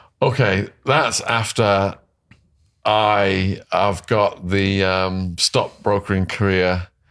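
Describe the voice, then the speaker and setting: A very slow voice in an English accent, with fairly even intonation and very even loudness. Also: man, fairly low pitch for a man. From England. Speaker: former drug dealer turned author. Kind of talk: interview.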